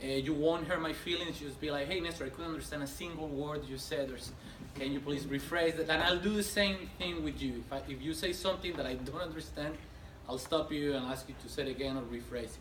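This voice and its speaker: A man with a non-native accent talks at a very fast pace in a fairly high pitch. Noticeable background noise and audible room echo are present. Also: ordinary pitch variation. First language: not English. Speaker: technical trainer. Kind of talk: lecture.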